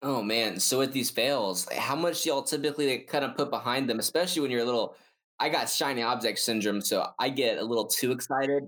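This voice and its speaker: An animated man's fairly high voice at a fairly quick pace, with ordinary pitch variation, very even loudness, and a very clean recording with a silent background. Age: young. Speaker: podcast host. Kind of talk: podcast interview.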